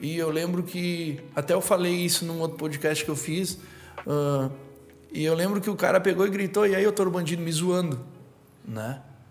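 With music in the background and audible room echo, a man talks at a moderate pace, his fairly high pitch showing ordinary pitch variation. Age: 30s. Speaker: entrepreneur. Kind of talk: casual chat.

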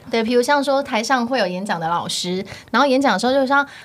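A woman speaks fairly quickly. Her voice has noticeable background noise behind it. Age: 30s. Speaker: e-commerce entrepreneur, former trainee entertainer. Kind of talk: casual interview chat.

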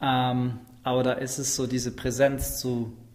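Audible room echo around a man speaking at a medium pitch. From Schwäbisch Hall, Swabia, Germany. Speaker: slam and stage performer. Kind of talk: casual interview.

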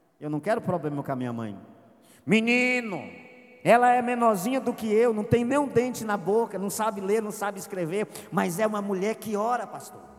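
A man's high-pitched voice, fairly quick and with lively intonation, over noticeable background noise. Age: 40s. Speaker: pastor. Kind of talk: sermon. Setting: church.

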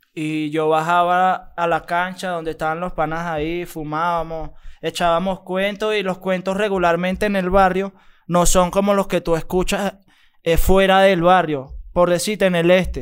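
On a very clean recording with a silent background, a man with a high pitch talks at a fairly slow pace in a monotone, flat way. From Venezuela, Caracas. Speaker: rapper. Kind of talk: casual chat.

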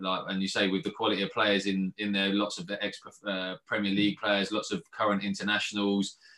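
Bright and sharp in tone, a man with a southern English accent talks at a fairly quick pace with hardly any pauses, fairly low pitch and fairly even intonation, on a very clean recording with a silent background. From England, Watford. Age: 30s. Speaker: professional footballer. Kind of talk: interview. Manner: halting.

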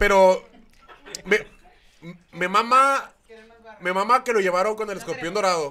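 A man's raised, projected voice, high-pitched, at a fairly slow pace with long, frequent pauses and ordinary pitch variation. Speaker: comedian. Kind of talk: casual chat. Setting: studio.

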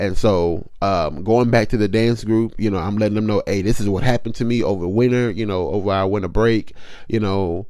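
Speaking at a moderate pace, a man has a plain, everyday voice with fairly low pitch. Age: 30s. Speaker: podcast host. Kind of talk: casual personal testimony.

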